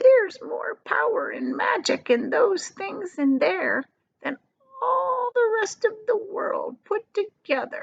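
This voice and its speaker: A woman uses a put-on character voice at an extremely high pitch, speaking fairly slowly. The sound is dry and close, with no echo. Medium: read story. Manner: secretive, intense.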